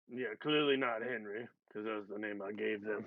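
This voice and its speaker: A man speaks in a put-on character voice at a moderate pace. His raspy voice sits at a medium pitch. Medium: actual play. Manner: rambling, filler-heavy.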